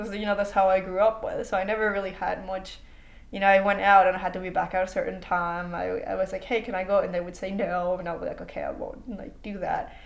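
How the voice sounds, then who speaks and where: Speaking at a very fast pace, a woman with a Mexican accent and a medium pitch keeps her intonation fairly even while her loudness swings widely. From Mexico. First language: Spanish. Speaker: international student. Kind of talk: interview. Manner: casual, with many fillers and repetitions.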